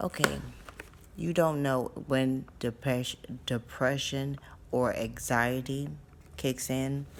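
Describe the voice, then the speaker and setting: The speech comes at a very slow pace with long, frequent pauses. Noticeable background noise runs underneath. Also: woman, very deep, low pitch for a woman. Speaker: stroke survivor vlogger. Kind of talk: casual vlog talk. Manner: slow, deliberate pace; halting, restarts words.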